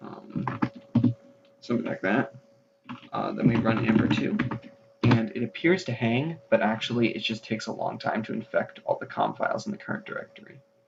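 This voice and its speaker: A man whispers at a fairly quick pace, with long, frequent pauses. Music plays in the background. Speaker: computer virus video host. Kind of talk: screen-capture tech demo narration. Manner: whispered.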